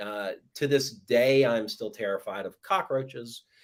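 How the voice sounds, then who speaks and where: With an American accent and a normal speaking voice, a man speaks fairly slowly at a fairly high pitch. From US South, southeast Georgia. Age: 40s. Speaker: horror writer. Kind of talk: interview, casual chat.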